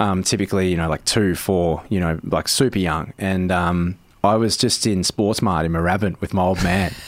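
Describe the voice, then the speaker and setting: A man with an Australian accent, very deep and low in pitch, at a moderate pace with fairly even intonation, on a very clean recording with a silent background. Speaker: comedian and actor. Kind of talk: casual interview. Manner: casual, many filler words.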